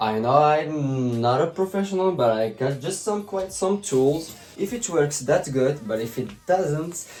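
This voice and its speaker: With music in the background, a man speaks at a fairly slow pace and a fairly high pitch, using very wide pitch swings. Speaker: vlogger. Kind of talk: casual vlog.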